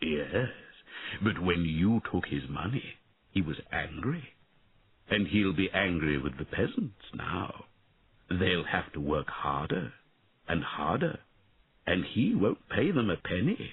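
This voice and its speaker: Quiet and very deep, low in pitch, a man does a put-on character voice at a fairly slow pace with long, frequent pauses. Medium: read story. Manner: quiet, sad.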